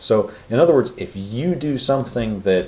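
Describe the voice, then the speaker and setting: A man talks with very wide pitch swings. The recording has audible room echo and noticeable background noise. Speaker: university lecturer. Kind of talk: recorded lecture. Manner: fast; casual, many fillers.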